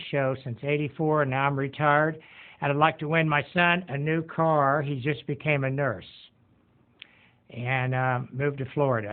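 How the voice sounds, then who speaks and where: A man has an ordinary speaking voice with a fairly high pitch. He moves at a moderate pace with fairly even intonation. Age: 60s. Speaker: retired podcast host. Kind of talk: casual self-introduction, game show audition pitch.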